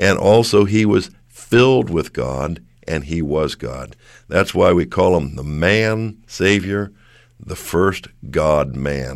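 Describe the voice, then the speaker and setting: At a very slow pace, a man speaks with lively intonation and vocal fry. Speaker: co-host, Bible teacher. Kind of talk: religious discussion. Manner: enthusiastic, says hallelujah often.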